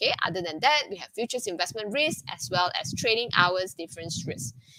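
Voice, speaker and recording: Over noticeable background noise, a woman with a medium-pitched voice talks at a fairly quick pace, her pitch swinging very widely and her loudness shifting a lot. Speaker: ETF fund director. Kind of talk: webinar presentation. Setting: online webinar. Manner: fast; hesitant with fillers.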